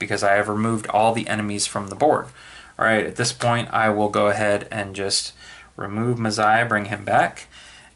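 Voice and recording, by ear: Natural-voiced reading aloud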